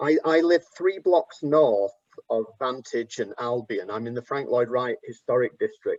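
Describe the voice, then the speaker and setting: A man speaks with an English accent at a moderate pace. The sound is dry and close with no echo, and his pitch varies in an ordinary way. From England. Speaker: architect and professor. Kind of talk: panel discussion.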